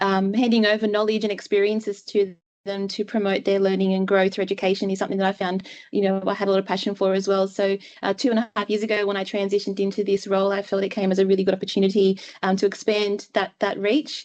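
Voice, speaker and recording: With an Australian accent, a woman speaks at a very fast pace and medium pitch. Her intonation is monotone and flat, and the background is quiet. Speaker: clinician, guest speaker. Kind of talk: webinar presentation.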